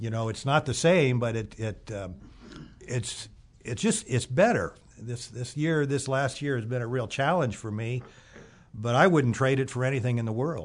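With an American accent, a man talks at a moderate pace and medium pitch. His voice is somewhat breathy and his pitch varies in an ordinary way. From US Midwest. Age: 70s. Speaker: Bible school student and former handyman. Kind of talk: testimony. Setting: studio.

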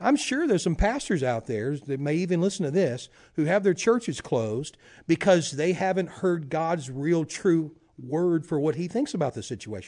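Against a quiet background, a man with a Louisiana accent speaks at a moderate pace in a dark, mellow tone, his pitch fairly high. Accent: Louisiana Southern US. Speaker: prayer ministry leader. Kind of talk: interview chat.

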